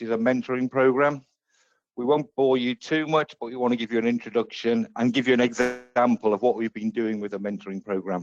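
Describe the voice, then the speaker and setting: An English accent with ordinary pitch variation, over music in the background. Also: man. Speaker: software consultant / presenter. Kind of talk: webinar presentation.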